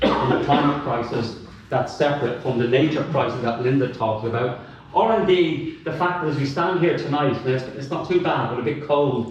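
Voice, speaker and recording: A man with a Dublin accent and a fairly high pitch is heard with audible room echo and noticeable background noise. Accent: Dublin Irish. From Dublin, Ireland. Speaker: academic and climate activist. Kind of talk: panel talk. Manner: animated.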